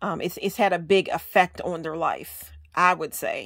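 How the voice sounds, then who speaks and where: A woman speaks very slowly at a fairly low pitch. Her intonation stays fairly even, and the recording is very clean with a silent background. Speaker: law of attraction and tarot vlogger. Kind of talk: casual talk to camera. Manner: hesitant, frequent filler 'um'.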